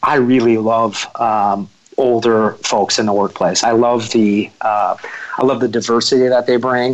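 Amid noticeable background noise, a man speaks at medium pitch and a fairly slow pace, monotone and flat, with very even loudness and hardly any pauses. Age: 40s. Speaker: recruiting firm founder. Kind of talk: interview conversation. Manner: halting, many fillers.

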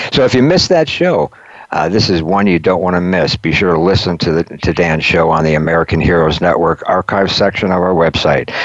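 Noticeable background noise surrounds a man whose very deep, low voice moves at a fairly quick pace with very even loudness. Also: fairly even intonation. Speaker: radio host. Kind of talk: radio interview.

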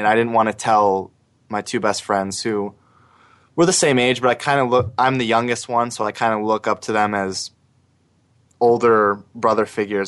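A normal speaking voice moves at a moderate pace with fairly even intonation. The background is quiet. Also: man. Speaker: guest sharing his story of anxiety and depression. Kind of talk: personal testimony in interview.

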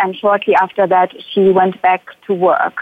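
Speaking at a moderate pace, a woman with a German accent holds a medium pitch. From Germany. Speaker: psychologist. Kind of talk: testimony. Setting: remote call-in.

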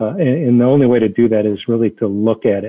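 This man has an American accent and a normal speaking voice. His pitch is medium, with fairly even intonation. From Detroit area, Michigan. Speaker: automotive executive. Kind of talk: interview.

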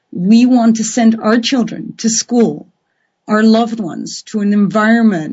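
Her pitch sits fairly high. The woman's voice carries a somewhat breathy quality. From Netherlands. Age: 40s. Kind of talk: live call-in radio talk.

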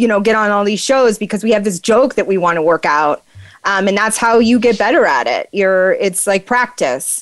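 A woman speaks with an American accent. Her fairly high voice shows ordinary pitch variation. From northern Maine, US. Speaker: stand-up comedian. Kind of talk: casual interview chat.

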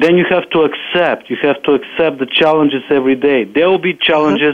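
With a Bulgarian accent, a man talks at a fairly quick pace and fairly high pitch, his intonation fairly even. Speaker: property manager and author. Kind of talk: interview.

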